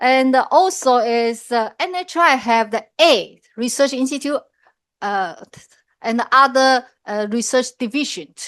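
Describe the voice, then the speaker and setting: A woman speaks loudly at a high pitch. Her intonation is lively, and the background is quiet. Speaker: professor. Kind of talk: lecture.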